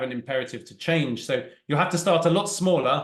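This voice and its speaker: With a British accent, a man talks at a fairly quick pace in a high pitch for a man. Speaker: agile coach and trainer. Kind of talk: talk with Q&A. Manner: fast.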